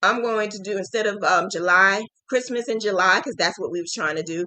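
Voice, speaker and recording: A woman speaks with a New Jersey accent. Her pitch sits in the middle range. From New Jersey, Jersey City. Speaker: crochet teacher. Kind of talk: live stream chat.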